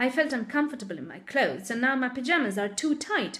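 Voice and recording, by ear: A woman puts on a hoarse, high-pitched character voice, talking very fast with lively intonation.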